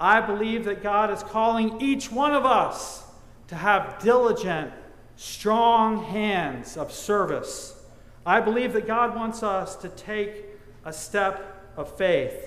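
Audible room echo surrounds a man speaking at a very slow pace. His pitch is high, with fairly even intonation. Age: 50s. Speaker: pastor. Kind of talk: sermon. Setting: church. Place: church. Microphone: lapel.

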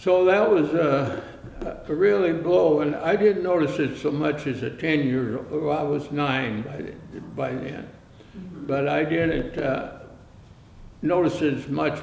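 A man speaks at a very slow pace with a fairly high pitch. Room echo is audible, along with light background noise. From Canada. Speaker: oral history narrator. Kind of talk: oral history interview. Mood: reflective, calm recollection. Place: studio.

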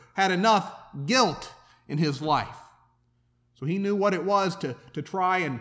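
Here a man talks at a high pitch. His pace is fairly slow. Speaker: preacher. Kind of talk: sermon. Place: church. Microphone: podium.

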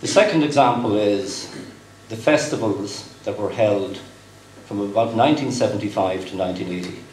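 A man with a Cork accent, fairly low in pitch and fairly slow, with ordinary pitch variation, big swings in loudness, audible room echo and light background noise. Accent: Cork Irish. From West Cork, Ireland; Ireland. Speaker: company executive, guest speaker; guest. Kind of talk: dinner speech. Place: hall. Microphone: podium.

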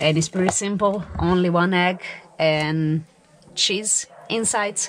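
In a plain, everyday voice, a woman of fairly low pitch speaks with fairly even intonation over light background noise. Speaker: travel vlogger. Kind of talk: casual vlog chat. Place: home room. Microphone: phone near.

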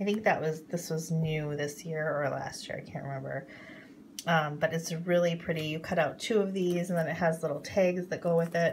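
Light background noise sits behind a woman speaking at a moderate pace. Her fairly low voice is somewhat breathy, with fairly even intonation. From North Dakota. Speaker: craft YouTuber. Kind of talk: haul video. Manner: hesitant, many fillers. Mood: relaxed, mildly enthusiastic. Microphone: phone near.

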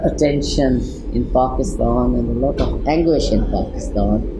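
Speaking at a very slow pace, a man comes through over noticeable background noise. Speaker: interviewee. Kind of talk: interview answer. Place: studio.

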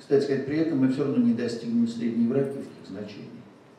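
Very wide pitch swings from a man, with strong room echo and light background noise. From Russia. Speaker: cardiologist; conference presenter. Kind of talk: medical conference lecture. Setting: stage with audience. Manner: formal. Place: hall.

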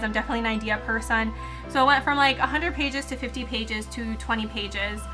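A woman talks at a medium speed while music comes through clearly behind her. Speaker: youtuber. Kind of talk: casual vlog chat. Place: home room.

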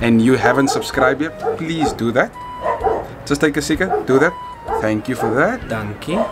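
Music in the background behind a man's moderate-paced speech. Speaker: YouTube vlogger. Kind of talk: casual vlog chat. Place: street. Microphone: phone near.

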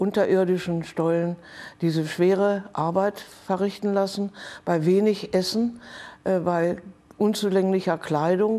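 A woman speaks at a fairly slow pace in a dark, mellow tone, with monotone, flat intonation. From Hanover, northern Germany; Germany. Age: 80s+. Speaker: Holocaust survivor; witness. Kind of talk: testimony. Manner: halting. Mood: serious, calm recollection. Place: studio. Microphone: lapel.

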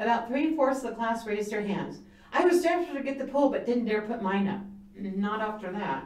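What you hear here is plain reading aloud.

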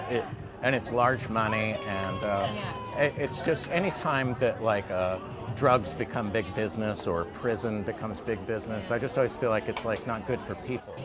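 A man talks at a moderate pace with ordinary pitch variation. The sound is dry with no echo, and clear music plays in the background. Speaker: interview guest. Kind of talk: interview answer. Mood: earnest, reflective. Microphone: lapel.

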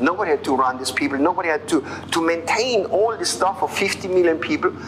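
Someone talks at a fairly quick clip over light background noise. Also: man. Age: 50s. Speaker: network marketing leader. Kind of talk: interview testimony. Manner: halting. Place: office. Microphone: lapel.

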